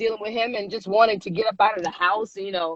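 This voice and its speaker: The speaker is a woman with an American accent. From Michigan (Muskegon). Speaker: singer. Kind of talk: interview. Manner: casual, animated.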